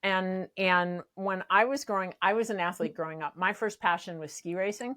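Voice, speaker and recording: A bright, sharp tone with ordinary pitch variation comes at a moderate pace in a dry, close sound with no echo on a very clean recording with a silent background. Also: woman, medium pitch for a woman. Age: 60s. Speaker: pickleball coach. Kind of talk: casual chat. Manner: animated.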